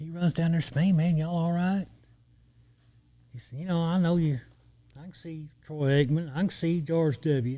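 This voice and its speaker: With a Texan accent, a man speaks at a moderate pace, his high pitch carrying a dark, mellow tone. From Texas, border region (Eagle Pass). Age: 60s. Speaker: retired lawman. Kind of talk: storytelling in casual podcast interview.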